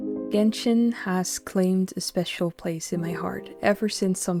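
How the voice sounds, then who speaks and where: A soft-spoken voice comes through with music playing in the background. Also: woman. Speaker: gaming commentator. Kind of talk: scripted intro narration.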